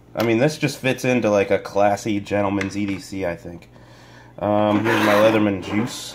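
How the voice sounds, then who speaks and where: Fairly slow, fairly even speech against noticeable background noise. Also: man. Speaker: gear reviewer. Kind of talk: casual talk to camera.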